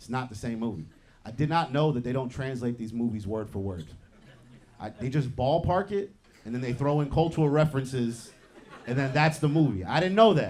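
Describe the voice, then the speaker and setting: This man has an unremarkable speaking voice. He talks at a fairly quick pace with lively intonation. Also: medium pitch for a man. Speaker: comedian. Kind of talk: stand-up.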